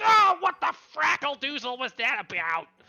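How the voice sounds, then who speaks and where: A put-on character voice, high-pitched, with very wide pitch swings. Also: moderate pace. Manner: silly, exclaiming.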